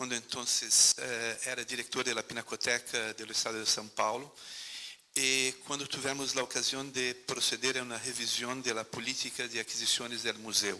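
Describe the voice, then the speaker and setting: Speaking in a monotone, flat intonation at a medium pitch, a man keeps a moderate pace while noticeable background noise runs underneath. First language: Portuguese (speaking Spanish). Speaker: museologist, former museum director. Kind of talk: panel talk.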